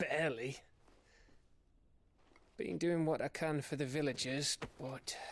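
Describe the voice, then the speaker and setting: A man does a put-on character voice that is raspy and fairly high. He speaks fairly slowly, with long, frequent pauses. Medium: video game.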